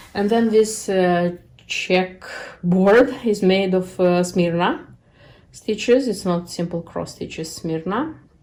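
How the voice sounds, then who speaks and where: A woman with a non-native accent speaks in a medium pitch. Her tone is dark and mellow, with ordinary pitch variation. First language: not English. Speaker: cross stitch video creator. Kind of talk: casual show-and-tell vlog. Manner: halting, many fillers.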